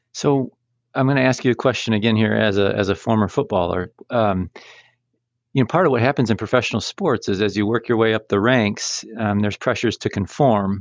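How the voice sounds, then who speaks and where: Against a quiet background, a man with a normal speaking voice goes at a fairly quick pace, his fairly low pitch showing ordinary pitch variation. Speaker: podcast co-host, sports scholar. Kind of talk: interview.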